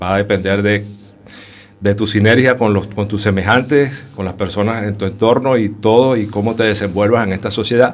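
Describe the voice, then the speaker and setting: Over noticeable background noise, a man with a fairly low pitch speaks at a moderate pace and with fairly even intonation. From Venezuela, Caracas. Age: 40s. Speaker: homeless shelter resident. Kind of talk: radio interview. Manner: halting.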